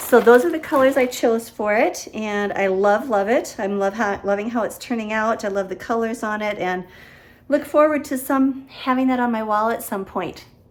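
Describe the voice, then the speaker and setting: With an unremarkable speaking voice, a woman talks at a moderate pace with a fairly high pitch and ordinary pitch variation. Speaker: cross-stitch vlogger. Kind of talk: casual show-and-tell vlog.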